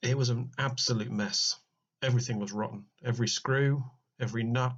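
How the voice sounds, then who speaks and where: Somewhat breathy, fairly quick speech in a British accent with monotone, flat intonation. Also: man, medium pitch for a man. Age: 40s. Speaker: RC car restorer. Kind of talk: casual voice-over narration.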